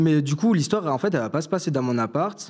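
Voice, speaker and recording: A man speaks with lively intonation. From southern France, Toulouse area. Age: 20s. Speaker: fashion student, story caller. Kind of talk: personal storytelling on live stream. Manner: casual, hesitant with many fillers.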